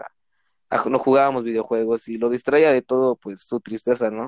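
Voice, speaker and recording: A man talks at a very fast pace in a medium pitch. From Mexico, Cancún, Quintana Roo. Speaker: law student. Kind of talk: casual chat.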